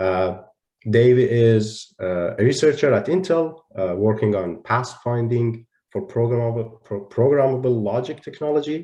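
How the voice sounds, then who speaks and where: Speaking at a fairly slow pace, a man uses lively intonation with a medium pitch and a dark, mellow tone. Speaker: panel moderator. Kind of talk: panel discussion moderation. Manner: halting with many fillers.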